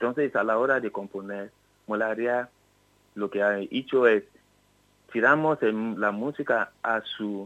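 Against a quiet background, a man talks at a fairly low pitch with fairly even intonation. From Nigeria, Yoruba region. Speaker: musician, bandleader and drummer. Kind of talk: interview. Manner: halting.

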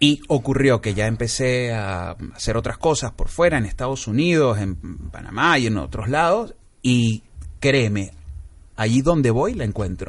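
Against a quiet background, a man with an unremarkable speaking voice talks at medium pitch and a fairly slow pace, using lively intonation. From Venezuela and Panama. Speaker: comedian and film director. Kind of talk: casual interview chat.

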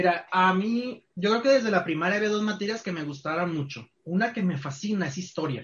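Speaking at a fairly quick pace with hardly any pauses, a man with a high pitch uses lively intonation. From Culiacán, Sinaloa, Mexico. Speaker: university tourism program coordinator. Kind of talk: casual interview.

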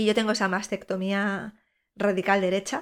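The woman's pitch is mid-range for her, and her delivery is rather slow. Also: very clean recording, silent background. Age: 40s. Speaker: podcast host and breast cancer patient. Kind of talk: personal monologue.

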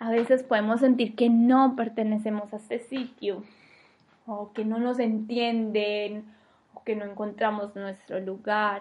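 A woman with a fairly high pitch talks at a fairly slow pace. Her intonation stays monotone and flat while her loudness swings widely. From Colombia, Medellín. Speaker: podcast host. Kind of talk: solo monologue podcast.

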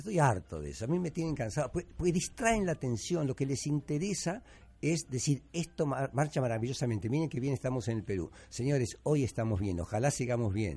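Over a quiet background, a man's somewhat breathy, dark, mellow voice at medium pitch makes very wide pitch swings. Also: hardly any pauses. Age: 70s. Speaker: radio host and journalist. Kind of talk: radio talk show. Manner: animated.

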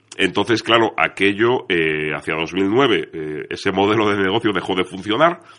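A man at a fairly slow pace with lively intonation and hardly any pauses. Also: fairly low pitch for a man. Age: young. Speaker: crime fiction author and editor. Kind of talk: radio interview.

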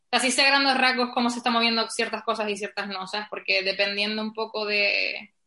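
A woman talks at a fairly quick clip with hardly any pauses, her pitch fairly high. Her tone is bright and sharp, and her intonation stays monotone and flat. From Canary Islands, Spain. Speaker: podcast guest discussing feminism. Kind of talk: casual conversation.

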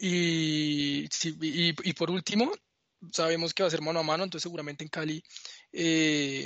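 A man talks in an ordinary speaking voice with fairly high pitch. His intonation is fairly even. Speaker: football pundit. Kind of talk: sports analysis chat.

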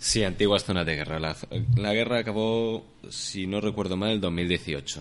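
Speaking at a fairly slow pace, a man uses a fairly low pitch with ordinary pitch variation. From Spain, Alicante. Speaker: traveller and former volunteer teacher. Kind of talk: casual interview. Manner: halting.

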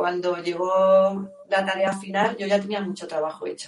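There is audible room echo around this voice. A woman speaks at a medium pitch. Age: 50s. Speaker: yoga teacher. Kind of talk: interview.

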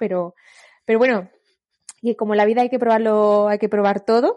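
This woman has a fairly high pitch and monotone, flat intonation. The background is quiet. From Andalusia, Granada. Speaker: occupational therapist. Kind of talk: casual chat.

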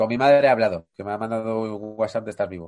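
A man's fairly low voice at a very fast pace, with fairly even intonation. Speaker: podcast co-host. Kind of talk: casual chat. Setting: video call.

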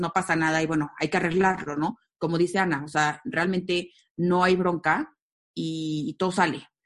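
An unremarkable speaking voice, this woman talks at a moderate pace with fairly low pitch and fairly even intonation. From Mexico, Aguascalientes. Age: 30s. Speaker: event company co-founder. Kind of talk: casual interview.

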